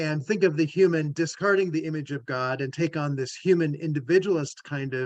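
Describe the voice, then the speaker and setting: The pace is moderate, with ordinary pitch variation. It is an unremarkable speaking voice. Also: man. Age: 60s. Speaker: theologian and family systems therapist. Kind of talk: discussion. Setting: video call.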